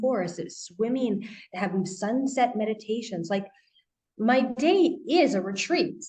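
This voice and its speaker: With a Canadian accent, a normal speaking voice delivers lively intonation. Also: woman. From Canada. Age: 30s. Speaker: life coach and author. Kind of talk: interview.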